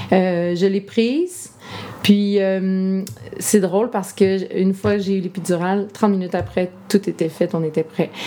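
At a fairly slow pace, a woman speaks in a monotone, flat intonation at a medium pitch, with noticeable background noise. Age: 30s. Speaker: entrepreneur and mother of five. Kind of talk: interview conversation. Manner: hesitant, many fillers.

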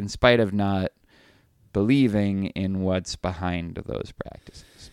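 On a very clean recording with a silent background and a dry, close sound with no echo, a man with a fairly low pitch speaks at a fairly slow pace. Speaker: philosophy professor, podcast co-host. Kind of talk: casual chat. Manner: loud.

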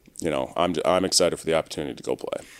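A man with an American accent talks at a very fast pace. His very deep, low voice carries vocal fry. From Maryland, US. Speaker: professional football player. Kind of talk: casual interview.

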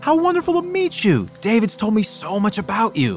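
A man uses a squeaky, high-pitched put-on character voice with very wide pitch swings. He keeps a moderate pace while clear music plays in the background. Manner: cheerful, welcoming.

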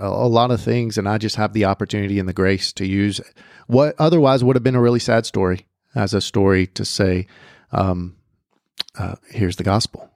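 A man with an American accent and a plain, everyday voice, fairly low in pitch with ordinary pitch variation, at a fairly quick pace, in a dry, close sound with no echo. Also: very clean recording, silent background. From Southern California. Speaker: college pastor. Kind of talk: testimony.

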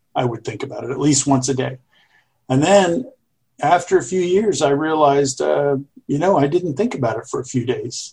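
Somewhat breathy and fairly high-pitched, a man with an American accent speaks at a moderate pace with ordinary pitch variation. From US South, Jacksonville, Florida. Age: 60s. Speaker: retired Navy aviator and author. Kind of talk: interview.

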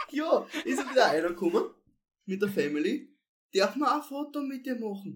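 Speaking at a moderate pace with long, frequent pauses, a man with an extremely high pitch makes very wide pitch swings. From Austria, Styria (Kapfenberg). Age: 20s. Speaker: singer. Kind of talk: casual chat.

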